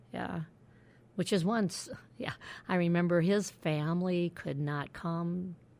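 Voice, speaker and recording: A woman's fairly low-pitched voice on a very clean recording with a silent background. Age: 60s. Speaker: spiritual director. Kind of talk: interview.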